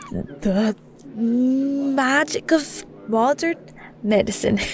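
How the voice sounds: In a put-on character voice with a Scottish accent, a woman speaks at a very slow pace and high pitch with ordinary pitch variation, faint music playing in the background.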